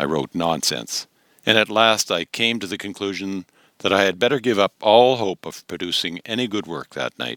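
Over a quiet background, an unforced reading voice shows ordinary pitch variation.

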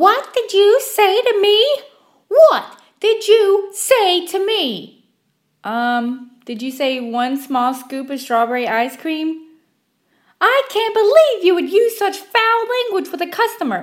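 On a very clean recording with a silent background, a female-sounding put-on character voice, shrill and extremely high, moves at a fairly slow pace with very wide pitch swings and long, frequent pauses. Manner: indignant, outraged.

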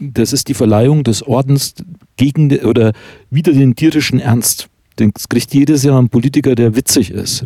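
A man speaks in a dark, mellow tone with an Upper Franconian accent. The sound is dry and close, with no echo. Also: medium pitch for a man, ordinary pitch variation, moderate pace. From Oberkotzau, Upper Franconia. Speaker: podcast host and author. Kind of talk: casual chat. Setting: recorded at guest's home.

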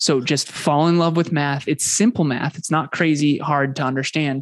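A man's fairly high-pitched voice, an ordinary speaking voice, with ordinary pitch variation at a moderate pace, dry and close with no echo over a quiet background. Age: 30s. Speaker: business coach and podcast host. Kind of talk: interview conversation.

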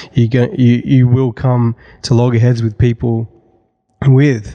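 In an Australian accent, a man speaks at a moderate pace and medium pitch with a dark, mellow tone. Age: 30s. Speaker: church creative director. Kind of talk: casual chat.

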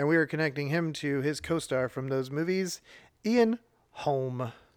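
With an ordinary speaking voice, a man talks at a fairly high pitch with ordinary pitch variation in a very clean recording with a silent background. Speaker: podcast host. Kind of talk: casual chat, game show banter.

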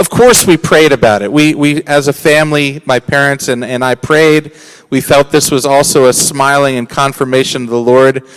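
A man talks at a moderate pace with hardly any pauses, his pitch fairly high and his intonation fairly even. Background noise is noticeable. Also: dry, close sound with no echo. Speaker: ministry leader. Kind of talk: testimony. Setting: church service.

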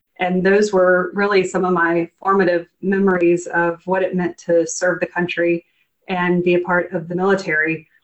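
Her intonation is monotone and flat as a woman speaks at a medium pitch. She talks at a moderate pace with an American accent. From US South, Eastern North Carolina. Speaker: government finance official. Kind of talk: interview.

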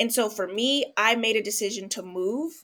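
A woman with an American accent speaks in a bright, sharp tone at a medium pitch and a moderate pace. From Los Angeles, US West Coast. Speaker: psychologist and professor. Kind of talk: casual interview. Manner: animated.

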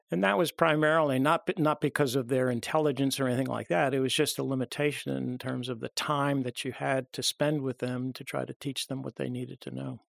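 In a normal speaking voice, a man with an American accent talks at medium pitch and a fairly quick pace, with ordinary pitch variation and hardly any pauses, in a dry, close sound with no echo. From US Northeast, Long Island, New York. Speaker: medical professor. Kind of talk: interview. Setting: studio.

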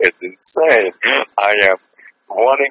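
A man speaks with a French accent. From French-speaking Switzerland. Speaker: actor, former doctor. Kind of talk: radio interview. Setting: phone call.

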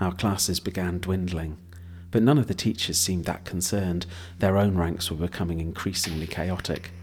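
With a British accent, a man speaks at a moderate pace in a very deep, low, somewhat breathy voice and fairly even intonation. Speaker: audiobook narrator. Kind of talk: horror story narration, read aloud from a script. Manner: measured and atmospheric, lingering on vivid images.

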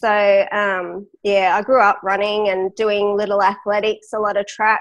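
With an Australian accent, a woman speaks at a moderate pace and medium pitch. Her intonation is monotone and flat. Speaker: cystic fibrosis patient and lung transplant recipient, runner. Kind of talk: interview storytelling.

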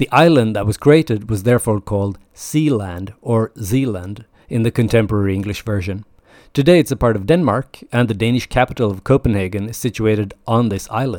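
In a dramatic tone, a man with a medium pitch uses ordinary pitch variation, and the sound is dry and close with no echo. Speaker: podcast host, history storyteller. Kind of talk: mythology documentary narration: polished, storytelling retelling of Norse myths. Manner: measured, vivid and dramatic storyteller pacing; clear, informative, lightly wry.

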